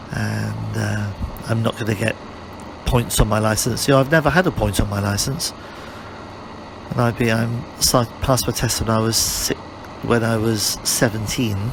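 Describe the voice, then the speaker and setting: A man with a British accent and medium pitch, moderate pace, ordinary pitch variation, long, frequent pauses, and noticeable background noise. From UK. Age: 60s. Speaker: motorcycle reviewer. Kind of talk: ride-along commentary. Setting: riding a motorcycle outdoors. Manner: casual, repetitive.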